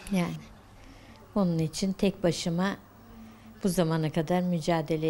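A woman speaks at a moderate pace in a fairly low, dark, mellow voice. Her intonation is monotone and flat, with light background noise behind her. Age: 50s. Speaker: news interviewee. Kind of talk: news interview. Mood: sad, worried, pleading.

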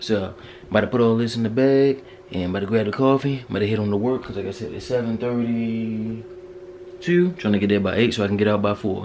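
A man's fairly quick speech with ordinary pitch variation and big swings in loudness, over noticeable background noise. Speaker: vlogger. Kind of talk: casual vlog chat. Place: home room. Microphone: phone near.

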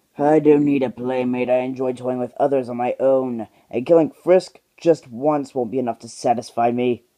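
A man's put-on character voice at medium pitch, moderate pace and with hardly any pauses. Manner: snide, sarcastic.

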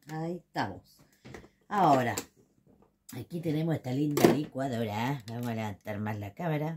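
Over light background noise, a woman with a Chilean accent talks at a fairly quick pace in a very deep, low pitch. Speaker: home cooking video host. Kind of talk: cooking tutorial. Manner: casual, chatty. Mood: playful, lively. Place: kitchen. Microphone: phone near.

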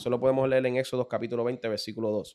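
Speaking at a very fast pace, a man has a fairly high pitch. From Puerto Rico, Carolina; Puerto Rico. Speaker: religious teacher in podcast discussion. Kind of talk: casual religious discussion. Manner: halting, many repeated words. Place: studio. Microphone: studio mic.

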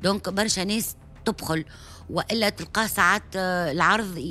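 The woman's speech moves at a moderate pace. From Tunisia, Hammam-Lif (southern suburbs of Tunis); Tunisia. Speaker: actress. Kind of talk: radio interview. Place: studio. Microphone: studio mic.

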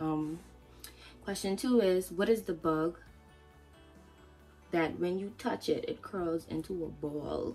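Faint music plays in the background as a woman speaks at a very slow pace with ordinary pitch variation and long, frequent pauses. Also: fairly low pitch for a woman. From Turks and Caicos Islands. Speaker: vlogger. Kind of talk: casual talk to camera. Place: home room. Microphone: phone near.

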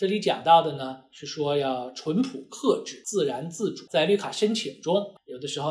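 A man's high-pitched voice against a quiet background. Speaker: immigration lawyer. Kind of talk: lecture. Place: office.

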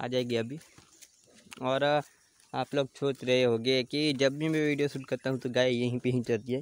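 The sound is dry with no echo as a man speaks at a fairly slow pace with fairly even intonation. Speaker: cattle farmer vlogger. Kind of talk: casual vlog chat. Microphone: phone near.

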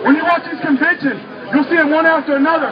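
Crowd noise fills the background as a man speaks. He talks at a very fast pace with ordinary pitch variation. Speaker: street activist speaker. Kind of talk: impassioned protest speech to a crowd, angry rant. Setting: outdoors at a protest rally in a city. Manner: fiery, pounding, urgent, rising in anger; rallying, preacher-like, call-and-response cadence.

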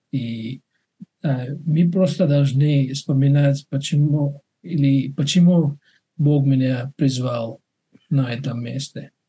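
A man with a non-native accent speaks very slowly, with long, frequent pauses and fairly even intonation. His voice is fairly high-pitched, somewhat breathy, and dark and mellow in tone. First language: not Russian (speaking Russian). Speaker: webinar moderator, doctor; webinar moderator. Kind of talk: casual chat. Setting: video call. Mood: calm, reflective. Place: home room. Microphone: webcam.

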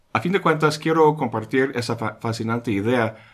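At a moderate pace and medium pitch, a man speaks against a quiet background. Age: 50s. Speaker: philosophy educator. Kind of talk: scripted narration. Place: home room.

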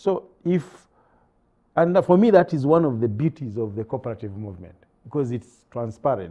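Against a quiet background, a man with a dark, mellow tone talks at a moderate pace with very wide pitch swings. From Uganda. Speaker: executive director of a development think tank; talk show guest. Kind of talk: studio panel discussion. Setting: studio. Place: studio. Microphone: lapel.

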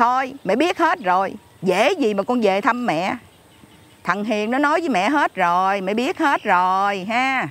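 A woman speaks at a very slow pace with very wide pitch swings. The sound is dry, with no echo. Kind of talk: scripted drama dialogue, scolding phone call. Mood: scolding, exasperated. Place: garden.

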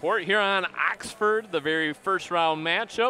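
A high-pitched man talks at a fairly slow pace in an upbeat tone with lively intonation. Light background noise is present, and the sound is dry with no echo. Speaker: sports broadcaster. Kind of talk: sports commentary. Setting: high above the gymnasium, broadcasting a live game. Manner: upbeat broadcaster tone, rattling off stats and scores. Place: hall.

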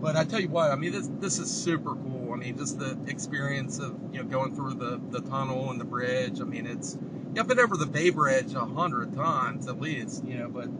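Loud background noise fills a dry recording with no echo. A man talks at a fairly quick pace with hardly any pauses. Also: ordinary pitch variation. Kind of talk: casual vlog chat. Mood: excited, relaxed. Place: car. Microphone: camera far.

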